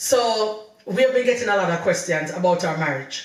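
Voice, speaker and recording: A woman's lively voice in a Jamaican accent at a moderate pace, with noticeable background noise and audible room echo. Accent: Jamaican English, patois slips. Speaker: podcast co-host, wife. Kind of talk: casual chat. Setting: video podcast recording.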